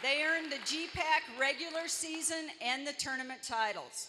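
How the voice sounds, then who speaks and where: With light background noise behind her, a woman speaks at a moderate pace in a raised, projected voice. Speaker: college athletic director, event emcee. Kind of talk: ceremony emcee speech. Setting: arena with live audience. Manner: upbeat. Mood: celebratory, proud. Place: hall. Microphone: handheld.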